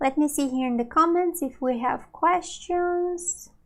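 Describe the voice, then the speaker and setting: A woman with a high-pitched voice and a Brazilian Portuguese accent speaks with lively intonation. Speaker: Portuguese language teacher. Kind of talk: live online lesson. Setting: livestream. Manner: slow, clear teaching pace.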